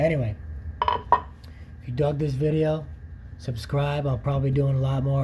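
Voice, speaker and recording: The speaker talks at a moderate pace with ordinary pitch variation, and room echo is audible. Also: man. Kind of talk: tutorial. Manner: casual.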